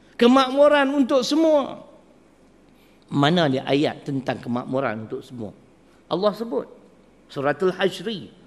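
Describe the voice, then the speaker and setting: His intonation ranges very widely. The man's voice sits high. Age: 60s. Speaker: religious preacher. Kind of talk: religious lecture. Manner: animated.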